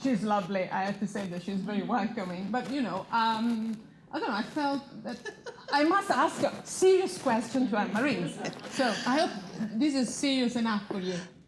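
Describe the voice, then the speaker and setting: Lively intonation from a woman with a fairly high pitch, at a moderate pace, against noticeable background noise. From Italy. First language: Italian. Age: 40s. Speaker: magazine founder and panel moderator. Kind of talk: panel discussion.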